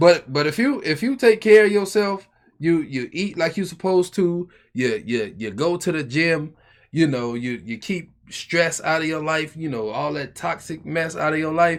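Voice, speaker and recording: Intonation rises and falls in a lively way at a moderate pace, in an ordinary speaking voice. The recording is very clean and the background silent. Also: man, fairly high pitch for a man. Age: 20s. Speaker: podcast co-host. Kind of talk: casual chat.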